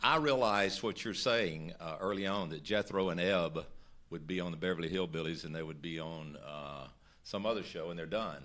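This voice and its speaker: A man's very deep, low voice carries ordinary pitch variation over audible room echo. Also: moderate pace. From Mississippi. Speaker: actor. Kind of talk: interview.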